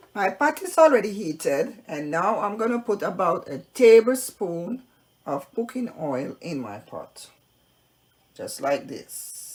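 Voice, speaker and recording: A woman's medium-pitched voice with vocal fry, very wide pitch swings, big swings in loudness and a fairly slow pace. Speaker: cooking channel host. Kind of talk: cooking tutorial. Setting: home kitchen.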